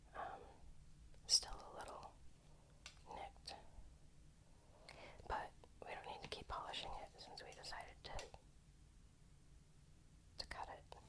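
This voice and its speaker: A woman whispers at a fairly slow pace. She leaves long, frequent pauses. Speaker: ASMR creator and rock collector. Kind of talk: ASMR rock-collection show-and-tell with reading from a book. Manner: whispered; casual, chatty with filler words.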